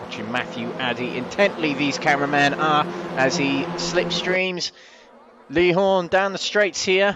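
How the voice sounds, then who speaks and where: With noticeable background noise behind him, a man speaks at a fairly slow pace with a fairly high pitch and ordinary pitch variation. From Wales, parents from the Midlands. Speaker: sim racing commentator. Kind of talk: live commentary. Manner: animated.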